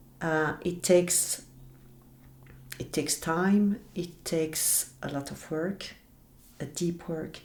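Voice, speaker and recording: A woman's fairly low, very slow voice in a French accent, with long, frequent pauses and fairly even intonation. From French-speaking Belgium. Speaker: shaman. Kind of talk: interview. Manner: halting.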